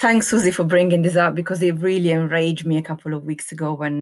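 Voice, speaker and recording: A woman's very deep, low voice with an Italian accent and fairly even intonation, on a very clean recording with a silent background. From Italy. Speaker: epidemiologist. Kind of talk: interview.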